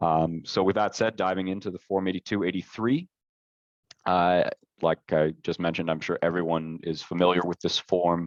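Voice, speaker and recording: A man speaks with a very deep, low pitch and fairly even intonation. His pace is moderate and the background is quiet. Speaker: webinar presenter. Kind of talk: webinar presentation. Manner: hesitant, many fillers.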